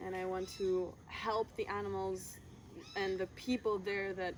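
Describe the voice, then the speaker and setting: Her intonation stays flat and monotone. This female speaker sits at a medium pitch. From Switzerland. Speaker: aspiring eco-resort founder. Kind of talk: interview.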